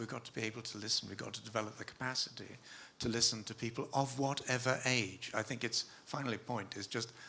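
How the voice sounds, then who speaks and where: A man rattles along very fast in a monotone, flat intonation while noticeable background noise plays behind him. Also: medium pitch for a man. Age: 70s. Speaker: sustainability expert, panelist. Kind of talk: panel discussion. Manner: halting.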